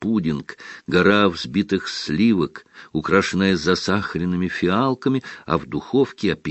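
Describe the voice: What we hear is a plain reading aloud of a text.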